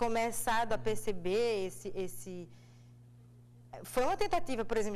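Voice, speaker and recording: A woman talks at a moderate pace with a fairly high pitch. The room echo is audible. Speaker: actress. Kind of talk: TV interview. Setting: TV studio.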